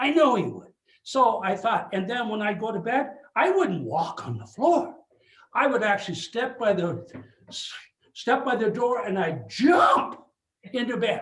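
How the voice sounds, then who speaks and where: An animated speaker with an Upper Midwest accent uses lively intonation at a fairly slow pace, leaving long, frequent pauses, with audible room echo. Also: man, extremely high pitch for a man. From Superior, Wisconsin. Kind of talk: lecture. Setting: video call.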